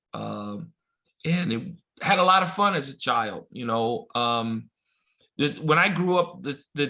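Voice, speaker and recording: With an American accent, a man speaks fairly slowly in a fairly high, bright, sharp voice with lively intonation. The recording is very clean with a silent background. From Los Angeles, South Central. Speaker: baseball umpire. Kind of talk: casual chat.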